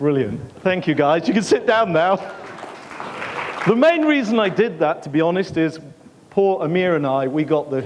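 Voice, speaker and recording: Noticeable background noise sits behind a man speaking with an English accent. He talks at a moderate pace with lively intonation. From England. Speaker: conference speaker, ex-military. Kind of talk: conference talk. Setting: stage with audience. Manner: animated.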